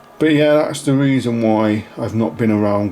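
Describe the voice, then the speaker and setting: A man speaks with a fairly low pitch. Noticeable background noise can be heard. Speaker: YouTuber. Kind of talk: casual channel update vlog. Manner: hesitant, many ums.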